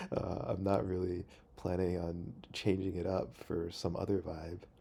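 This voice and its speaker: A man speaks quietly and very slowly, his very deep voice dark and mellow with fairly even intonation. Room echo is audible. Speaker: video blogger. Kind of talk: casual monologue. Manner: quiet, hesitant with fillers.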